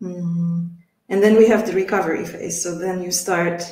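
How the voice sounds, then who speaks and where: With a Polish accent, a woman speaks at a very slow pace in a fairly low pitch and monotone, flat intonation. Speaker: English teacher, webinar host. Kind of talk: casual chat.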